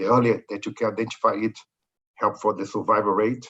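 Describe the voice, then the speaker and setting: A man with a Brazilian accent, fairly low pitch and a very fast pace. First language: Portuguese. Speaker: corporate executive. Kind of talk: webinar interview. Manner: halting.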